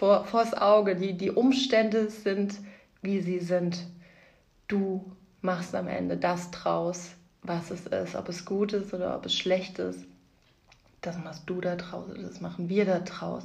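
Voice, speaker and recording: In a room with audible echo, a woman speaks at a very slow pace and medium pitch, with vocal fry, fairly even intonation, and long, frequent pauses. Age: 30s. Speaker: podcast host, mother. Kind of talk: casual monologue.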